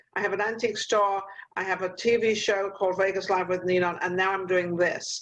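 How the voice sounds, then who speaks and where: In an English accent, a woman talks at a moderate pace with a medium pitch. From England. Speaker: talk show host. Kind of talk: interview. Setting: video call.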